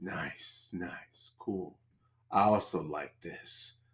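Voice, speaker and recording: Speaking very slowly, a man uses a put-on character voice. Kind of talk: casual slang. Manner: creepy, leering.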